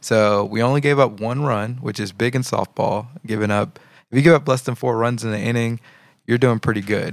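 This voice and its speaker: In a very clean recording with a silent background, a man with a normal speaking voice talks at a fairly quick pace, his medium pitch held to fairly even intonation. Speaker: podcast host. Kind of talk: casual religious talk show, reacting to videos. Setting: live-streamed recording.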